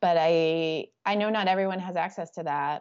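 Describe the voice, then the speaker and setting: With an American accent, a woman speaks in a flat, monotone way at a fairly low pitch. The background is quiet. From Texas, Houston area. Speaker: nurse, fellowship program coordinator. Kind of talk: interview.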